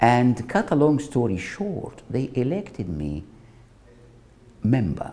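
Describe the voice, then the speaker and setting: The man's voice comes across as somewhat breathy. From Egypt, Alexandria. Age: 70s. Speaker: retired physician. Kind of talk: personal life story interview.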